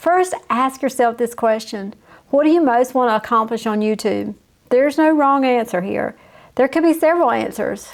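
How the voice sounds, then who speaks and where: In a Southern US accent, a woman speaks at a moderate pace with a high pitch and ordinary pitch variation. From US South. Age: 50s. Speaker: YouTube coach. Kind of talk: tutorial. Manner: casual.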